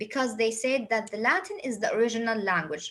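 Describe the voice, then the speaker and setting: A woman's high-pitched voice with an Arabic accent, at a moderate pace. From Saudi Arabia. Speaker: English teacher. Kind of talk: lecture.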